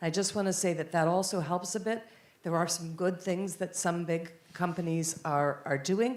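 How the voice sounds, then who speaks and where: In an American accent, a woman with an ordinary speaking voice talks at a moderate pace, her fairly low pitch carried on fairly even intonation and very even loudness. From United States. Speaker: panelist at environmental policy conference. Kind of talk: panel discussion.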